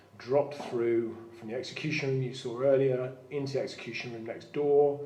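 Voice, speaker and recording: Over noticeable background noise and audible room echo, a man talks at a fairly quick pace in a medium pitch, his intonation monotone and flat while his loudness swings widely. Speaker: prison site manager and live stream host. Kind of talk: live-streamed ghost tour. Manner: fast; halting.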